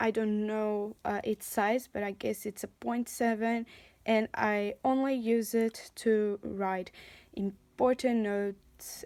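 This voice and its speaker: A woman with a non-native accent, medium pitch and a dark, mellow tone, at a very slow pace with fairly even intonation. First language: not English. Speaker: university student. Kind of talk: casual talk to camera.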